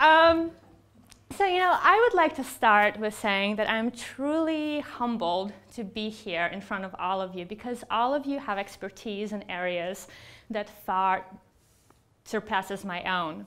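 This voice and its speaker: Speaking in a Russian accent, a woman uses a fairly high voice with very wide pitch swings at a fairly slow pace. The recording is very clean, with a silent background. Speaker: psychologist and researcher. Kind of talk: keynote speech.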